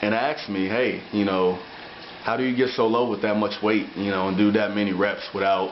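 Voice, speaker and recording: Fairly low in pitch, a man talks at a moderate pace with fairly even intonation. Audible room echo and noticeable background noise are present. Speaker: amateur bodybuilder. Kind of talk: video diary. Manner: slightly slurred speech.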